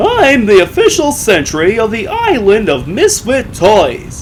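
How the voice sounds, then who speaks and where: Clear background noise under a man's put-on character voice, delivered fairly slowly. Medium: read story.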